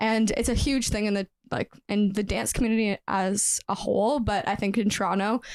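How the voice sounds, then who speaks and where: In a normal speaking voice, a woman of medium pitch talks at a moderate pace with fairly even intonation and very even loudness, the sound dry and close with no echo. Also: very clean recording, silent background. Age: 20s. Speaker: professional dancer and nutritionist. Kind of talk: podcast interview.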